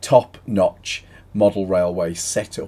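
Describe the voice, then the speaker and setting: A man's fairly low-pitched voice with ordinary pitch variation and a dark, mellow tone. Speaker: channel host. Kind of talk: casual vlog chat. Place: home room. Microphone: webcam.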